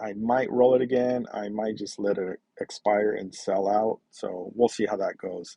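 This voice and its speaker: A man with a plain, everyday voice, fairly low in pitch, at a fairly slow pace with fairly even intonation and hardly any pauses. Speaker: personal finance youtuber. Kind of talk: casual screen-share walkthrough.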